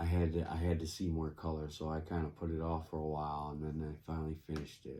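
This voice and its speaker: In an upstate New York accent, a man with a very deep, low pitch and a dark, mellow tone speaks at a very fast pace in a monotone, flat delivery with hardly any pauses. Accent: upstate New York American. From US Northeast (upstate New York). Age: 50s. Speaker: crafting youtuber. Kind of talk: casual chat while crafting. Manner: halting, many fillers.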